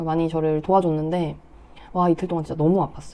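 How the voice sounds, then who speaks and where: A woman's dark, mellow voice, fairly low in pitch. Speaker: personal finance vlogger. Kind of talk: casual vlog talk. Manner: conversational.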